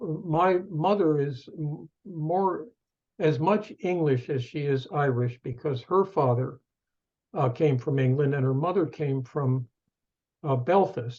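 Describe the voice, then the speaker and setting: A very slow, somewhat breathy man's voice, fairly high in pitch with a dark, mellow tone, ordinary pitch variation and an American accent. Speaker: professor emeritus and author. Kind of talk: interview, personal storytelling. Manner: halting, with fillers.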